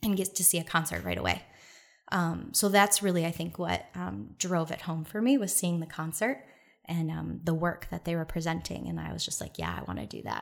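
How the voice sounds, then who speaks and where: A woman with a Michigan accent at a fairly quick pace. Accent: Midwestern American (Michigan). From Detroit, Michigan. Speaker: dancer and dance lecturer. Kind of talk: casual interview chat.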